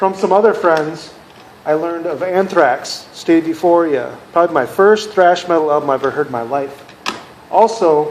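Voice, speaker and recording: Speaking at a moderate pace over noticeable background noise, a man with an American accent has a fairly high pitch. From US Midwest, Minnesota. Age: 40s. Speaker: music collector, video creator. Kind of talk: personal monologue to camera.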